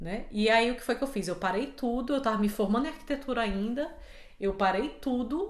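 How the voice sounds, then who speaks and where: A woman speaks with a high pitch and lively intonation at a fairly quick pace. Room echo is audible. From Brazil, Fortaleza. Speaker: podcast co-host. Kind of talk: casual chat.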